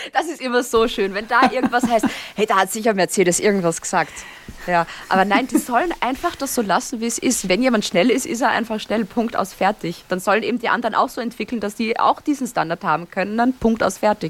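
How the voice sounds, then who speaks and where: Amid noticeable background noise, a woman with an Austrian accent talks at a fairly quick pace, her fairly high voice carrying lively intonation. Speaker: Formula 1 podcaster. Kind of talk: casual chat. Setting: video call.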